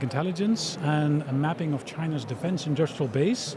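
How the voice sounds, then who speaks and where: There is audible room echo and noticeable background noise around a man's fairly high voice. He speaks at a fairly quick pace with ordinary pitch variation. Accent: European. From Europe. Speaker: tech company founder, former diplomat. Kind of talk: interview at expo. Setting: live event stage.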